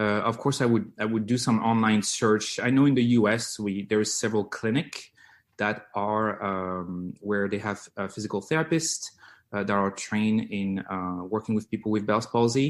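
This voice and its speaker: In a French accent, a man with a fairly low pitch talks with ordinary pitch variation against a quiet background. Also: moderate pace. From France, Lyon. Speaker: physical therapist. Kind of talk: interview. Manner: halting, many fillers.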